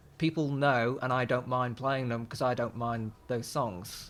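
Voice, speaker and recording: On a very clean recording with a silent background, a man talks at a fairly slow pace and medium pitch with fairly even intonation. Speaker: singer-songwriter and guitarist. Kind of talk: interview. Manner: halting.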